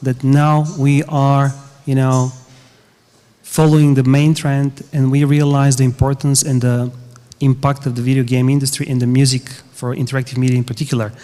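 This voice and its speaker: With a Bulgarian accent, a man speaks at a moderate pace and medium pitch in a dark, mellow tone, his intonation monotone and flat. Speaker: game music composer. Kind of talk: panel discussion. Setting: conference stage with audience.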